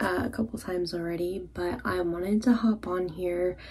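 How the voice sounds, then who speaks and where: A woman at a moderate pace, her pitch fairly low. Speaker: vlogger. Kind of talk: casual vlog chat. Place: bathroom. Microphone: phone near.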